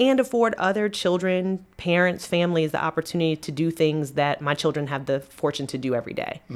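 With an ordinary speaking voice, a woman pitched fairly low talks at a fairly quick pace with lively intonation and hardly any pauses. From Maryland (Annapolis). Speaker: nonprofit executive. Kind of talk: casual interview. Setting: office.

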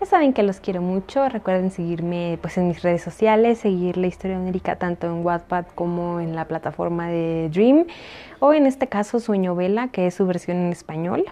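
The tone is dark and mellow. Pitch moves in an ordinary way. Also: woman, moderate pace. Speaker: podcaster and fiction writer. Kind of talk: reading aloud; casual chat.

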